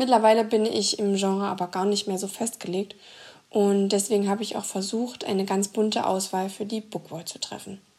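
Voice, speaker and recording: At a moderate pace, a woman speaks with monotone, flat intonation. Her pitch is medium and her tone dark and mellow. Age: 20s. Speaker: book blogger. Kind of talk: prerecorded scripted book presentation.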